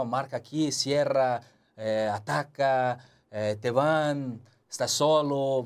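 This man has a Portuguese accent. His voice sits at a medium pitch with fairly even intonation. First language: Portuguese (speaking Spanish). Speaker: former footballer, football pundit. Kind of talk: casual sports analysis chat.

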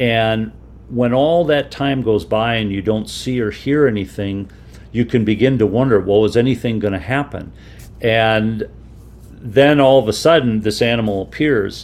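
A man with an unremarkable speaking voice keeps a medium pitch, a moderate pace and ordinary pitch variation. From Minnesota, US Midwest. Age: 60s. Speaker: photographer and outdoorsman. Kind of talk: radio interview.

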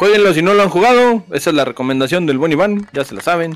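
With noticeable background noise, a man talks at a fairly quick pace and a fairly high pitch with lively intonation. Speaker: podcast co-host. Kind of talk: casual chat. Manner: animated.

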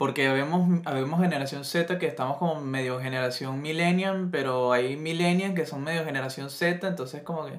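A man with an unremarkable speaking voice and a fairly high pitch, fairly even intonation, a moderate pace and hardly any pauses. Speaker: podcast co-host. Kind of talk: casual chat.

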